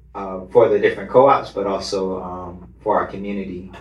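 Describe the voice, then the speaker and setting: A somewhat breathy man's voice, fairly low in pitch, at a fairly slow pace with fairly even intonation. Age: 30s. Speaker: cooperative founder and activist. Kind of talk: panel discussion. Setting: live recording in a venue.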